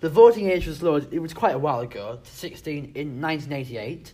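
Pitch swings very widely as a man speaks at a moderate pace. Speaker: podcast host. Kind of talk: casual comedic political chat. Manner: jokey, banter.

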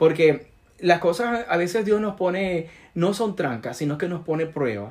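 A man at a moderate pace with lively intonation. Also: very clean recording, silent background. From Venezuela. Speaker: physician and entrepreneur. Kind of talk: interview. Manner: halting, many fillers.

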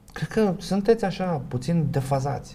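A man talks with vocal fry. His tone is dark and mellow. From Romania. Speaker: sociologist and professor. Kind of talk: casual interview.

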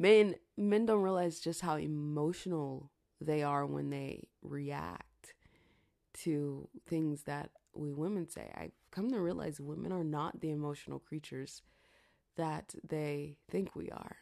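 In an animated tone, a woman speaks with a very deep, low pitch and ordinary pitch variation. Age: 30s. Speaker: podcaster and YouTuber. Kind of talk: casual solo monologue. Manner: animated, laughs often.

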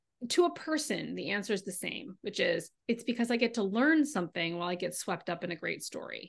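A woman with an American accent and a plain, everyday voice speaks at a fairly quick pace, her pitch fairly high and her intonation lively. The background is quiet. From California. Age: 40s. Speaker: novelist. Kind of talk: interview.

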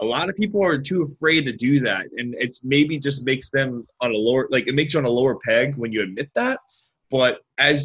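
With an American accent, this normal speaking voice moves at a fairly quick pace with lively intonation. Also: man. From Florida. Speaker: podcast co-host, chiropractic student. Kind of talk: casual interview chat.

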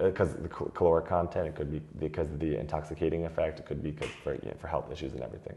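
Speaking with an American accent, a man with a very deep, low pitch has a dark, mellow, somewhat breathy tone, fairly even intonation and big swings in loudness. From US. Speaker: wine export manager. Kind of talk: interview. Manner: many fillers and repeated words.

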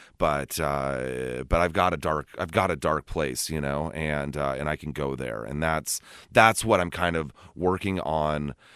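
A man speaks in a very deep, low pitch with a Californian accent. The recording is very clean, with a silent background. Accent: Californian American. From US West Coast, California Bay Area. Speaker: recovery guest co-host. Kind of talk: casual chat. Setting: studio.

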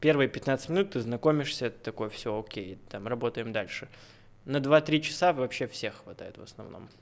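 A man speaks with a plain, everyday voice at a medium pitch. His pace is moderate and his intonation lively. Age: 20s. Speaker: tattoo artist. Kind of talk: casual chat. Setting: studio.

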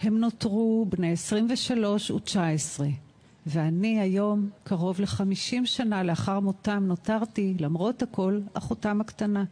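A dark, mellow, somewhat breathy voice in an Israeli accent, at a very slow pace, with ordinary pitch variation and very even loudness. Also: woman, medium pitch for a woman. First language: Hebrew (speaking German). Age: 60s. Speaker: art therapist. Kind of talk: testimony.

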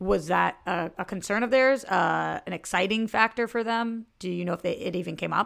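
A woman with a medium pitch and vocal fry speaks with hardly any pauses, on a very clean recording with a silent background. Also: ordinary pitch variation, moderate pace. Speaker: podcast co-host. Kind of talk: casual chat.

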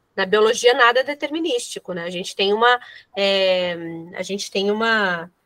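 The sound is dry and close, with no echo. A woman with an unremarkable speaking voice talks at medium pitch, her pitch varying in an ordinary way. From São Paulo, Brazil. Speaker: podcast co-host. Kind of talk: interview.

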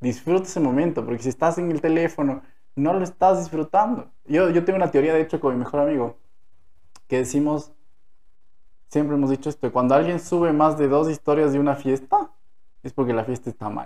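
A man with a dark, mellow tone and fairly high pitch talks at a fairly quick pace, with long, frequent pauses. The background is quiet. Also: ordinary pitch variation. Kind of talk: casual chat. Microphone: new microphone.

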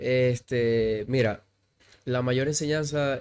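A man's unremarkable speaking voice at medium pitch, with fairly even intonation, in a very clean recording with a silent background. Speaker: CrossFit coach. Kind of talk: casual interview.

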